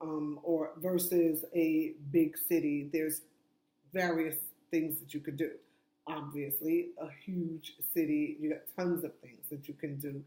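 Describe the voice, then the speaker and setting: A loud, dark, mellow voice with an American accent, fairly slow and monotone, with flat intonation. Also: woman, very deep, low pitch for a woman. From New York. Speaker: self-help vlogger. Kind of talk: casual advice monologue.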